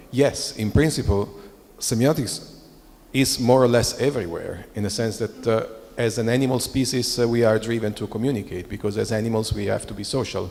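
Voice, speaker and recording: A man with a non-native accent, medium in pitch, at a fairly quick pace with fairly even intonation. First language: not English. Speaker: semiotics scholar. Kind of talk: panel discussion. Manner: halting.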